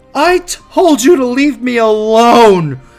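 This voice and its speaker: In a put-on character voice with fairly high pitch, the speaker goes at a fairly slow pace over faint music in the background. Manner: irritated, dismissive.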